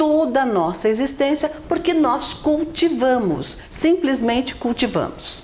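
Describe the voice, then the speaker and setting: Over noticeable background noise, a woman speaks very slowly in a high pitch, her voice swinging very widely up and down. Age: 60s. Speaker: self-help video co-host, writer and social worker. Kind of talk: motivational talk.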